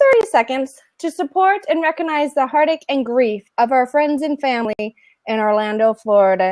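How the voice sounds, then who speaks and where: In a dry, close sound with no echo, a woman with an American accent speaks at a moderate pace, her pitch swinging very widely. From northern Nevada. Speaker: co-host, elementary teacher. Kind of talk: casual chat.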